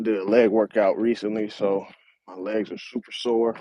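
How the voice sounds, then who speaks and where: Speaking at a medium tempo, a man keeps his intonation monotone and flat. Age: 30s. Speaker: finance channel host. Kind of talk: casual vlog monologue. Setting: outdoors on a high school track. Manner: relaxed, filler-heavy.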